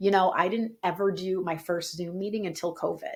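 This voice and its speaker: On a very clean recording with a silent background, a woman speaks at a moderate pace in an animated tone. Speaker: yoga teacher and business coach. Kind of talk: tutorial. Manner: high energy, projected voice.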